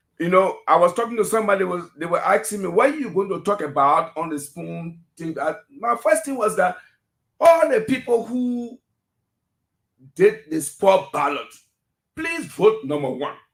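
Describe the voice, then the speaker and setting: Moving at a moderate pace, a man's high voice rises and falls in very wide pitch swings, with big swings in loudness too. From Liberia. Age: 60s. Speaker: political commentator. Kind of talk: radio call-in discussion.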